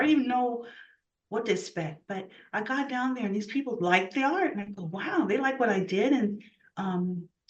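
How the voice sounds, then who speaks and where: A woman at a very fast pace, with audible room echo. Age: 60s. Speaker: artist. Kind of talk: interview. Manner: animated.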